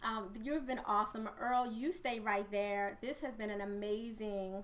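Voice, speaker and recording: In a room with audible echo, a woman with a fairly high pitch speaks in an animated tone at a moderate pace. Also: ordinary pitch variation. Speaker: podcast host and coach. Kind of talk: podcast interview.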